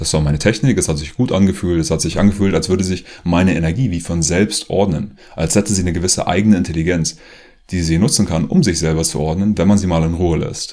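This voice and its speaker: A man speaks at a very fast pace in a very deep, low voice. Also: ordinary pitch variation. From Germany, rural area. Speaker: author and former activist video maker. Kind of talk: personal monologue to camera.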